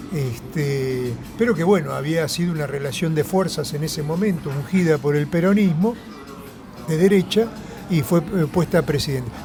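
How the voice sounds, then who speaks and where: A man's fairly high voice in a Rioplatense accent, with ordinary pitch variation and a moderate pace, audible room echo and music in the background. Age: 70s. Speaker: left-wing politician. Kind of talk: political interview. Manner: animated.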